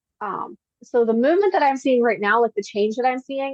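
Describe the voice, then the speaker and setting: This woman has a high pitch. She talks at a fairly quick pace. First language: Pennsylvania Dutch. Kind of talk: casual interview conversation.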